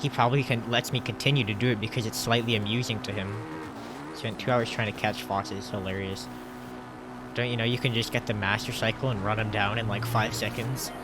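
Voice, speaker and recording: Over music in the background, a man talks at a fairly quick pace in a medium pitch with fairly even intonation. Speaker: speedrunner streamer. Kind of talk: live stream commentary. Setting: live stream.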